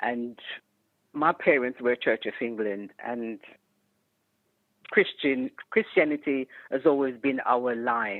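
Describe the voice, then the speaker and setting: A woman with a slight Jamaican accent speaks at a very slow pace, her very deep, low pitch varying in an ordinary way, with long, frequent pauses. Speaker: retired educator and community leader. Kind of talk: podcast interview.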